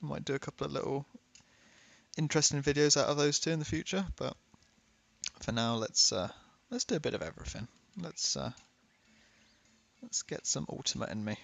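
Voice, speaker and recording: A man with a British accent at a fairly quick pace, broken by long, frequent pauses. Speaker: gaming YouTuber. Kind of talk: casual gameplay commentary.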